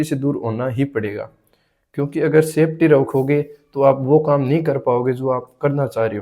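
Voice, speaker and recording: Pitched fairly high, the man's voice carries a dark, mellow tone. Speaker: vlogger. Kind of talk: casual monologue to camera. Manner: halting, repeats words.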